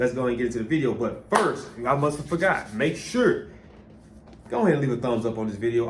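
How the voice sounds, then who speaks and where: A man with a medium pitch speaks at a very fast pace, with audible room echo and noticeable background noise. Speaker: sports reaction youtuber. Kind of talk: casual reaction commentary. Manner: animated.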